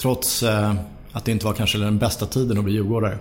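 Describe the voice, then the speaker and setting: Fairly low male voice, its intonation fairly even. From Sollentuna, north of Stockholm, Sweden. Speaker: football club board member. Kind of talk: casual interview.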